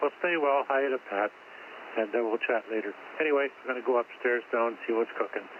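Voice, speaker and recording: Over noticeable background noise, a man talks at a fairly quick pace in a medium pitch with fairly even intonation. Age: 80s+. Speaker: amateur radio operator. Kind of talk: amateur radio net chat. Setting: radio station at home.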